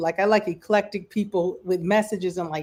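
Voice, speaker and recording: Recorded very cleanly against a silent background, a woman speaks at medium pitch with an American accent. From Michigan, US Midwest. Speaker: livestream music show host. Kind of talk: casual chat. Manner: animated.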